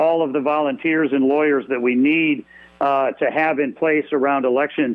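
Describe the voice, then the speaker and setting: A man speaks in a normal speaking voice at a moderate pace with a fairly high pitch. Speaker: state party chairman. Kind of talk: radio interview. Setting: phone call.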